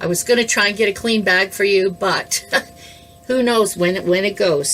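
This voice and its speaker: Against noticeable background noise, a woman speaks at a moderate pace and a medium pitch. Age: 60s. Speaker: educator, kidney transplant patient. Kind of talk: casual talk to camera, health tutorial. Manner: friendly, conversational, humorous.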